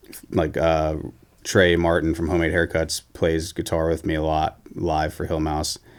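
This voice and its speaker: A man speaks at a moderate pace in a very deep, low voice with flat, monotone intonation. The recording is very clean, with a silent background. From South Carolina, Columbia. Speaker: indie rock musician and band leader. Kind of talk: casual interview chat.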